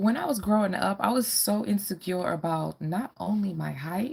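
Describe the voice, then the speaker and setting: With lively intonation, a woman speaks in a somewhat breathy voice at a fairly low pitch. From Caribbean, moved to US as a child. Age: 40s. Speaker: fashion and lifestyle vlogger. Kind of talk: live-stream Q&A chat. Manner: casual, hesitant with fillers.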